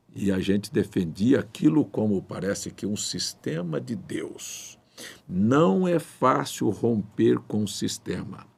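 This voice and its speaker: A man speaks very slowly at a fairly low pitch, with vocal fry. His pitch swings very widely. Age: 60s. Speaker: pastor. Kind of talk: sermon. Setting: livestream.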